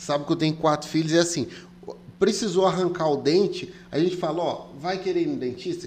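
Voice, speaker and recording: This man's high voice moves at a fairly quick pace with ordinary pitch variation. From Brazil, came to Rondônia from elsewhere. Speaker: podcast host. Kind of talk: casual interview chat. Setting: studio.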